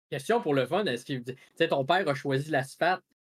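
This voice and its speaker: A man with a Quebec accent speaks at a fairly high pitch with ordinary pitch variation. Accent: Québécois French. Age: 20s. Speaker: podcast host. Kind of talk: casual chat.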